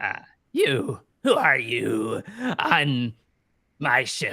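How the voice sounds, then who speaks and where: A man puts on a raspy character voice at a medium pitch, speaking at a very slow pace. He breaks into cackling. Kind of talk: villainous theatrical voice. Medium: actual play. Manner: cackling, cryptic.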